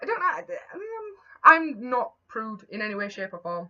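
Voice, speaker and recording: Lively intonation carries a bright, sharp tone. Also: woman. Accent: Yorkshire. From Yorkshire, England. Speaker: vlogger. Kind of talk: casual chat. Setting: home, talking to camera. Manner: rambling with repetitions, stumbling.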